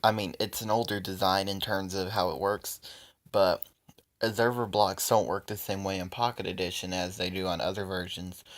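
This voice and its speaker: On a very clean recording with a silent background, a man with fairly low pitch speaks with monotone, flat intonation. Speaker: gaming youtuber. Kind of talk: tutorial. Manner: hesitant, many fillers.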